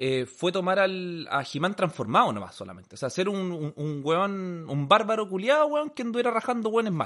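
In a Chilean accent, a man talks at a fairly quick pace with hardly any pauses, a high pitch and very wide pitch swings. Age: 30s. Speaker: podcast co-host. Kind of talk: casual chat.

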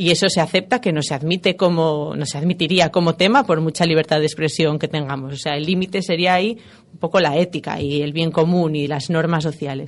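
With a normal speaking voice and ordinary pitch variation, a woman talks at a fairly quick pace. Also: fairly low pitch for a woman, hardly any pauses. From Spain, Asturias (Gijón). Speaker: feminist musicologist and gender consultant. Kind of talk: interview.

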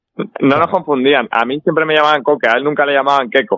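This man's delivery is fairly quick. His is an ordinary speaking voice. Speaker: professional footballer. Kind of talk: casual chat.

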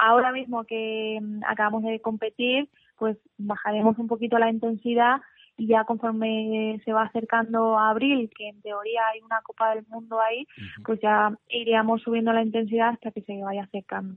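Her intonation monotone and flat, a woman talks at a moderate pace in a fairly high pitch with big swings in loudness. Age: 30s. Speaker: paralympic weightlifter. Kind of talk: radio interview. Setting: live radio.

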